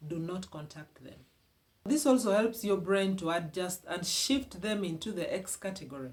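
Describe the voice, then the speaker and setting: An animated tone with a Ugandan accent at a moderate pace. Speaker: relationship advice vlogger. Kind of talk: motivational advice talk.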